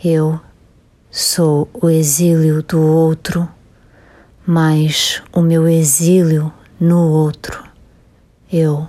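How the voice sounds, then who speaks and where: A woman's very deep, low voice, dark and mellow, in a flat monotone at very even loudness and a very slow pace, with long, frequent pauses. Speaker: poet reading her own work. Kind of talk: poem reading. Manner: slow, measured, contemplative.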